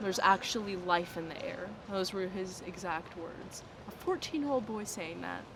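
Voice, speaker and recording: A woman at a medium pitch talks at a moderate pace with ordinary pitch variation. Her loudness swings widely, and the room echo is audible. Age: young. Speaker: university student. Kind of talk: interview.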